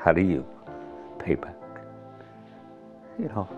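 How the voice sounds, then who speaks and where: Lively intonation marks a man's speech, with faint music in the background. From Hungary. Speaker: Holocaust survivor and lawyer. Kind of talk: personal testimony interview answer. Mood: emotional, near tears. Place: home room.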